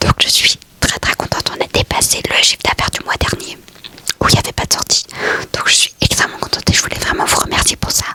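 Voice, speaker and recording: A woman whispers at a very fast pace. The sound is dry and close with no echo, though background noise is noticeable. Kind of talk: vlog monologue. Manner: whispering ASMR.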